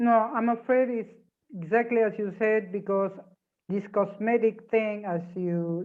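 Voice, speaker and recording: A woman talks at a fairly slow pace in a plain, everyday voice, with ordinary pitch variation. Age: 50s. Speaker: interviewer for a newspaper. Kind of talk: interview.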